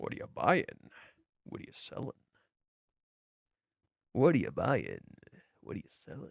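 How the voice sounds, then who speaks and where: A raspy, gravelly put-on character voice from a man at a moderate pace, with long, frequent pauses. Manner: gruff, sales-pitch.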